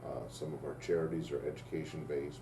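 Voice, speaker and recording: Very fast and very deep, a man with an American accent talks with ordinary pitch variation amid audible room echo and noticeable background noise. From Nebraska, US Midwest. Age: 60s. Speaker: business owner. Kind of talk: interview.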